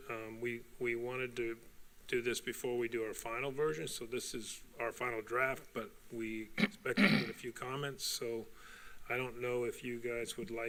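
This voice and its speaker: Quiet and bright, with a sharp tone, a man speaks at a moderate pace in a medium pitch with ordinary pitch variation. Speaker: community committee chair. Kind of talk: committee report to board. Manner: halting. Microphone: too quiet.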